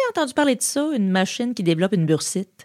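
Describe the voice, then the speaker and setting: The pitch swings very widely at a fairly quick pace. The sound is dry and close, with no echo. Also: woman. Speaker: podcast host. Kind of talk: scripted narration with humor. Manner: animated, humorous.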